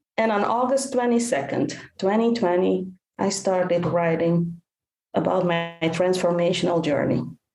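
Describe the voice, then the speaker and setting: Speaking fairly slowly at a medium pitch, a woman with a Dutch accent is heard with audible room echo. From Netherlands. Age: 50s. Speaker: caregiver coach and author. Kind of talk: podcast interview.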